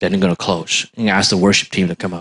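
A man is speaking. His pitch sits fairly low. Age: 50s. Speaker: pastor. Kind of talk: sermon. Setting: outdoor church service in a park. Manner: animated.

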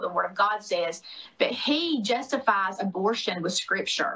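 A woman with a Southern US accent at a moderate pace, amid noticeable background noise. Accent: Southern US (Georgia). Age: 40s. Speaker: former gubernatorial candidate and podcaster. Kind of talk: interview. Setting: video call.

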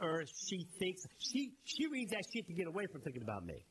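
This man speaks with a high pitch. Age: 50s. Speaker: podcast co-host. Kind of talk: casual chat. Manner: animated.

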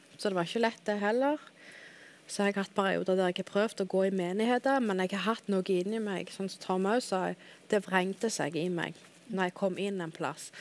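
This woman has a normal speaking voice, medium in pitch with ordinary pitch variation, and she talks at a moderate pace. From Dalane, Rogaland, southwestern Norway. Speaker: guest sharing conversion story. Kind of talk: testimony.

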